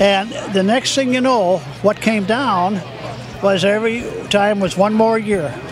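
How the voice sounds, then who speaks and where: With music in the background and audible room echo, a man speaks in a high voice at a fairly slow pace, leaving long, frequent pauses. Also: ordinary pitch variation, very even loudness. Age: 80s+. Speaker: founder of a charity sports event. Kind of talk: interview.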